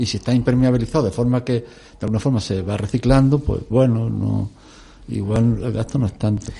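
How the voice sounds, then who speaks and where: Somewhat breathy and dark, mellow in tone, a man speaks at medium pitch and a fairly quick pace with fairly even intonation. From Extremadura, Spain, small village. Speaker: environmental activist. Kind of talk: radio discussion.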